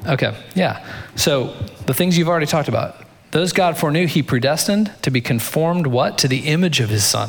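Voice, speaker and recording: With vocal fry and a fairly high pitch, a man talks at a fairly quick pace with lively intonation and very even loudness, amid audible room echo. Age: 40s. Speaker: pastor. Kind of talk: sermon.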